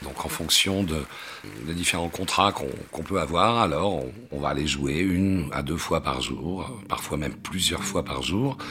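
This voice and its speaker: A man speaks at a fairly slow pace in a very deep, low voice. Noticeable background noise runs underneath. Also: ordinary pitch variation. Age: 50s. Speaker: stage actor. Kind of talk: personal interview monologue. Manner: halting, frequent fillers and repetitions.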